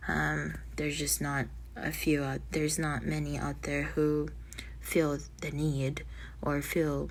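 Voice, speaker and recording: A woman speaks very slowly with long, frequent pauses, and audible room echo surrounds her voice. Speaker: spiritual vlogger. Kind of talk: casual monologue. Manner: halting.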